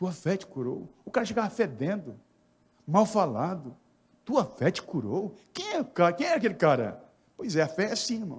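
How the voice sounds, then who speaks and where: A high-voiced man talks at a moderate pace, his pitch swinging very widely. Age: 60s. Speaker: pastor. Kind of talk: sermon.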